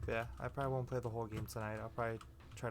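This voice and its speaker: With music in the background, a man speaks at fairly low pitch. His intonation is lively. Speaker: gaming youtuber. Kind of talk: let's play commentary. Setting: home recording at night. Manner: casual, halting with fillers.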